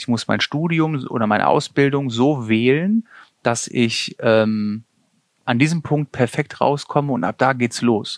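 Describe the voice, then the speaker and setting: Using an ordinary speaking voice, a man speaks at a fairly slow pace and medium pitch with ordinary pitch variation, recorded in a dry, close sound with no echo. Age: 40s. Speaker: paramedic and vocational school teacher. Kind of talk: interview.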